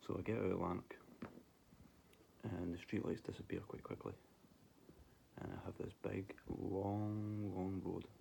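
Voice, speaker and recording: In a Scottish accent, the dark, mellow voice moves at a fairly slow pace with flat, monotone intonation and long, frequent pauses. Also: man, fairly low pitch for a man. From Scotland. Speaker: vlogger telling paranormal stories. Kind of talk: casual personal storytelling.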